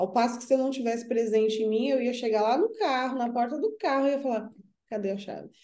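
Very fast and high-pitched, a woman talks in a dark, mellow tone with ordinary pitch variation. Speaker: spiritual counselor. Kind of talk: casual chat.

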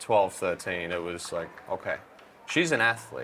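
Fairly slow speech from a man with an Australian accent. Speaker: pickleball coach and commentator. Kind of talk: interview.

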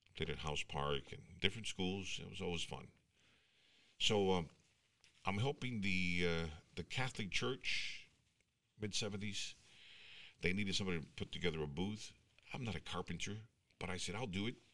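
With an American accent, a man speaks in a very deep, low pitch and a bright, sharp tone at a moderate pace, using ordinary pitch variation and long, frequent pauses. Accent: Mexican American English, Texas. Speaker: radio announcer. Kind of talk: casual chat. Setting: studio. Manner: animated.

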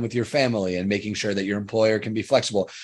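A man with an American accent speaks in a normal speaking voice, fairly low in pitch, with fairly even intonation over a quiet background. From Long Island, New York. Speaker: student podcast host. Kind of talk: casual panel discussion.

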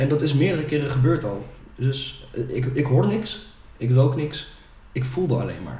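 A man talks at a moderate pace, his voice carrying audible echo from the room. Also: medium pitch for a man, ordinary pitch variation. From Netherlands, Ede. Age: 20s. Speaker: sales manager. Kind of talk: personal testimony in podcast interview.

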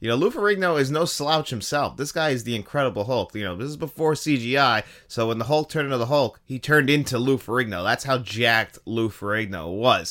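Talking at a very fast pace with hardly any pauses, a man uses lively intonation at a medium pitch. His tone is bright and sharp, and the recording is very clean with a silent background. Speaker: podcast host, movie reviewer. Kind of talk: solo podcast monologue, movie countdown.

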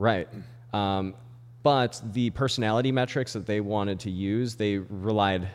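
A man speaks in an ordinary speaking voice, fairly low in pitch, with ordinary pitch variation. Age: 30s. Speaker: army veteran. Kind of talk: casual chat.

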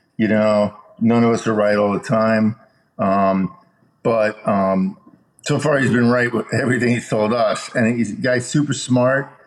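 The speaker has a plain, everyday voice in an American accent, with ordinary pitch variation. Loudness stays very even at a fairly slow pace. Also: man, medium pitch for a man. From Chicago, US Midwest. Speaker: entertainment executive. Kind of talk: casual interview.

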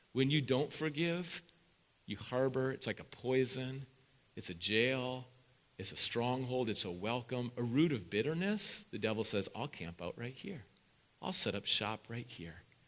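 A man speaks in an ordinary speaking voice at medium pitch, with lively intonation and a fairly slow pace. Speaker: pastor. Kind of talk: sermon. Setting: church.

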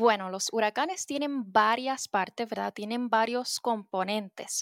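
With an unremarkable speaking voice, a woman at a fairly high pitch talks at a moderate pace with lively intonation, the sound dry and close with no echo on a very clean recording with a silent background. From Puerto Rico. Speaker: meteorologist. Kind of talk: educational interview for children.

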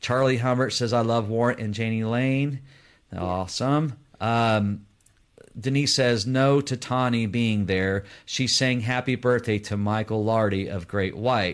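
A man speaks at medium pitch with fairly even intonation and a fairly slow pace. He has a plain, everyday voice. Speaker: podcast co-host. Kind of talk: casual live interview. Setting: video call, live stream.

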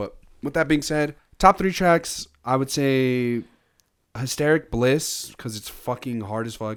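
This man has an unremarkable speaking voice at medium pitch with ordinary pitch variation, talking at a fairly slow pace. His loudness swings widely on a very clean recording with a silent background. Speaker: podcast host. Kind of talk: casual chat.

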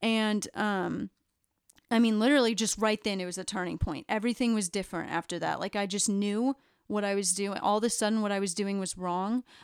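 A woman talks fairly quickly in an ordinary speaking voice of medium pitch, her intonation fairly even, on a very clean recording with a silent background and a dry, close sound with no echo. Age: 20s. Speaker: church member sharing testimony. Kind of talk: testimony. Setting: recorded podcast.

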